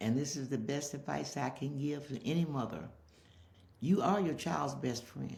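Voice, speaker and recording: A woman speaks with a very deep, low pitch and vocal fry at a moderate pace. Her pitch varies in an ordinary way, and room echo is audible. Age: old. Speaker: interviewee, mother. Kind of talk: casual interview.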